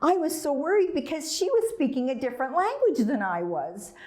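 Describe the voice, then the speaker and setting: A woman's voice with very wide pitch swings carries audible room echo. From Dundee, Scotland (early childhood), then Canada. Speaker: storyteller. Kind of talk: storytelling.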